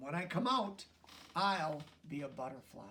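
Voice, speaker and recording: A man's put-on character voice, fairly high in pitch, with lively intonation at a moderate pace. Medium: read story. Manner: proud, self-important.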